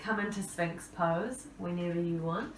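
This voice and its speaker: Speech at a fairly slow pace with ordinary pitch variation comes through audible room echo and noticeable background noise. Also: woman. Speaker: yoga instructor. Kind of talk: guided yoga class. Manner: calm, soothing.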